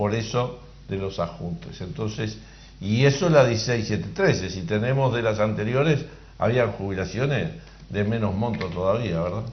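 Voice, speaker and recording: Audible room echo surrounds a man whose fairly low voice carries vocal fry. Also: ordinary pitch variation, moderate pace. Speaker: workers' representative on social security board. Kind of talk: call-in radio Q&A.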